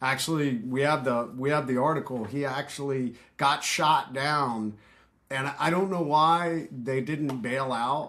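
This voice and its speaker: Recorded very cleanly against a silent background, a man with an American accent speaks at a fairly slow pace, his tone bright and sharp and his intonation fairly even. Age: 50s. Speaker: retired special forces veteran. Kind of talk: podcast interview. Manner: casual, halting with fillers.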